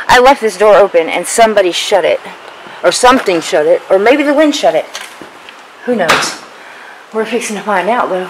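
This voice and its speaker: Speech at a fairly quick pace is heard with noticeable background noise. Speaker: urban explorer vlogger. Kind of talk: casual vlog chat. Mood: nervous, excited. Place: open country. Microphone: phone near.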